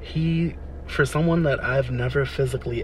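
There is noticeable background noise and audible room echo. Through it, a man with an American accent speaks at a moderate pace. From Delaware, US East Coast. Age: 20s. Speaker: podcaster. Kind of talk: personal monologue. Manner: hesitant, many fillers.

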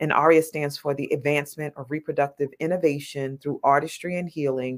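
A woman talks with a New York accent at a very deep, low pitch. Her intonation is fairly even. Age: 50s. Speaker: nonprofit founder. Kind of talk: casual chat.

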